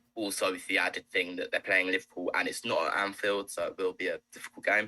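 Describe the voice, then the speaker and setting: Words pour out of a man very quickly. No echo colors the dry, close recording. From Scotland. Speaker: football podcast co-host. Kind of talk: casual football chat.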